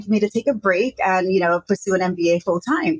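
A somewhat breathy woman with an American accent at a moderate pace, in a dry, close sound with no echo. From Brooklyn, New York. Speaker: entrepreneur and business consultant. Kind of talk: interview conversation. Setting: remote call from Hong Kong.

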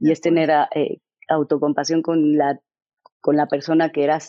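A woman with a Mexican accent speaks at a very deep, low pitch. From Mexico. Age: 40s. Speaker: author. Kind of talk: interview. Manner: articulate, intense.

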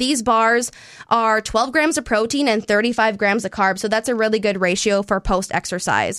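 An ordinary speaking voice from a woman, fairly high in pitch, with ordinary pitch variation and a moderate pace. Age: 30s. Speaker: sports dietitian and podcast host. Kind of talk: casual chat. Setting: studio.

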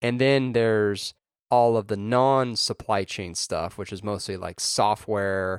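A man's voice, with a dry, close sound and no echo. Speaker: podcast co-host. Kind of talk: casual chat about tech news.

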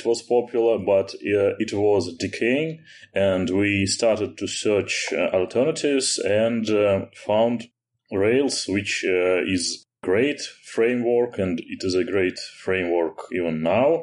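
A man with a Russian accent and a fairly low pitch, speaking at a very slow pace with ordinary pitch variation. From Russia, Moscow. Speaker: software engineer. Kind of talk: technical interview. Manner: hesitant, many fillers.

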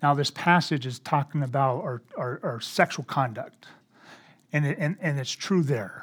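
A man speaks at a moderate pace with a fairly high, somewhat breathy voice and ordinary pitch variation. The recording is very clean, with a silent background. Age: 50s. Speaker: pastor. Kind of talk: sermon. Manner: halting, many fillers.

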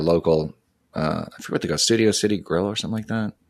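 The background stays quiet. A man talks with an American accent. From Houston, Texas. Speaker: musician. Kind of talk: casual chat.

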